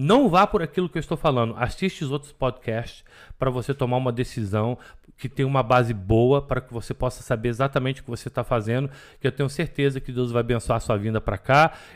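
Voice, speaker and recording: A man's very fast speech at medium pitch with ordinary pitch variation, very cleanly recorded against a silent background. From Belo Horizonte, Minas Gerais, Brazil. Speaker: pastor. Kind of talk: casual chat.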